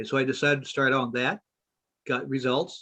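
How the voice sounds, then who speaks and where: Recorded with a dry, close sound and no echo, a man's fairly high voice has a bright, sharp tone. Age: 70s. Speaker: product user and research specialist. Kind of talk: testimony.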